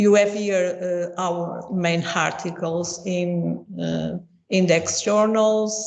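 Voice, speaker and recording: Speaking very slowly with a Portuguese accent, a woman keeps a fairly low pitch and a monotone, flat intonation amid audible room echo. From Portugal. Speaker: professor. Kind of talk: lecture. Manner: halting.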